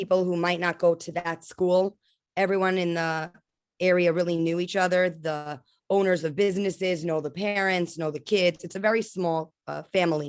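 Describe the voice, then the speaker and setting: With a New York accent, a woman speaks at a fairly low pitch. Her pace is moderate and her intonation fairly even. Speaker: school administrator and nonprofit co-founder. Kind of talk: interview testimony.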